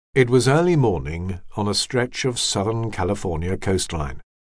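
Lively intonation runs through a man's unremarkable speaking voice. He talks at a moderate pace against a quiet background. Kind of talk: audiobook narration, scripted reading aloud of nonfiction. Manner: measured, even and steady, formal literary delivery.

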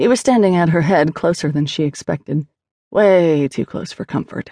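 This woman has a fairly low pitch. Her tone is dark and mellow. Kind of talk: audiobook fiction narration. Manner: narrative, measured storytelling pace.

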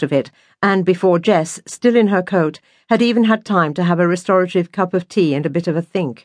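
At a moderate pace, a woman with a fairly low pitch talks in an ordinary speaking voice. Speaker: audiobook narrator. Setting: studio. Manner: measured, warm, wry storytelling pace with gentle irony and light wistfulness; shifts into a brisk, cheeky teenage tone for Natasha's dialogue.

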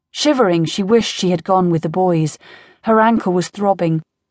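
A woman with an unremarkable speaking voice talks at a moderate pace with ordinary pitch variation, in a dry, close sound with no echo against a quiet background. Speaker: audiobook narrator. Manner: voices different characters, gruff old man, frightened young woman.

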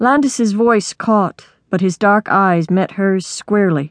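Quiet background behind an unforced reading voice.

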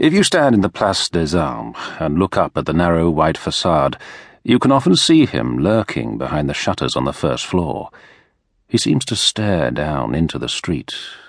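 A man's very deep, low voice with a British accent, vocal fry and a dramatic tone, very wide pitch swings at a moderate pace, against a quiet background. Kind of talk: audiobook narration of a historical novel. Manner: measured, dramatic, storytelling tone with dry irony.

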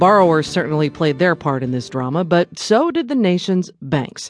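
Against a quiet background, a woman with a normal speaking voice talks at a moderate pace, her fairly low pitch carried by lively intonation. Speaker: radio host. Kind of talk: news reading. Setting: studio. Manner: polished, formal.

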